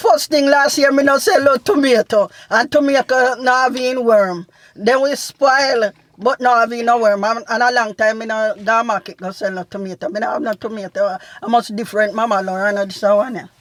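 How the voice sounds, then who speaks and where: A woman's fairly high voice in a Jamaican accent, with ordinary pitch variation and a moderate pace. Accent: Jamaican patois. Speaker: family vlog mother. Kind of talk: casual Q&A chat.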